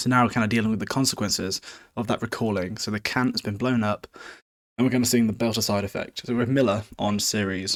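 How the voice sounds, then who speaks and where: A man with a British accent talks at a very fast pace and medium pitch, his intonation fairly even. The very clean recording has a silent background and a dry, close sound with no echo. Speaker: podcast host. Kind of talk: casual book recap. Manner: informal, joking.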